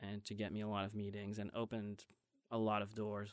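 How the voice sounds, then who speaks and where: At a moderate pace, a man speaks with a fairly low pitch against a quiet background. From Belgium. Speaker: TV writer and producer. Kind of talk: interview. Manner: halting.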